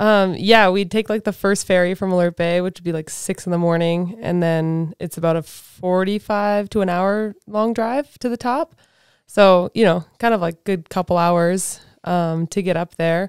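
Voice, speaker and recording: Against a quiet background and with a dry sound with no echo, a woman in a Canadian accent speaks at a moderate pace with fairly even intonation and big swings in loudness. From western Canada. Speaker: professional snowboarder. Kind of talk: casual interview. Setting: studio. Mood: relaxed, fond. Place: studio. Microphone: studio mic.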